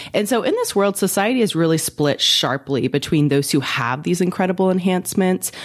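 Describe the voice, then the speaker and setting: A woman's fairly low voice at a fairly quick pace, with noticeable background noise. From China (Chengdu), third culture kid. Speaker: young adult author. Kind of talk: casual interview chat.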